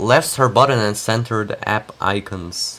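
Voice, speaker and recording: In a Russian accent, a man speaks at a fairly slow pace over a very clean, silent background. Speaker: tech youtuber. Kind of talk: live stream commentary. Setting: live stream.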